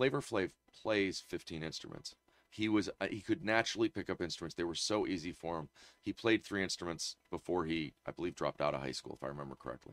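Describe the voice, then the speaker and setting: With vocal fry and lively intonation, a man talks at a very fast pace and a very deep, low pitch, in a dry, close recording with no echo. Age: 50s. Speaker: podcast co-host. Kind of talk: casual chat.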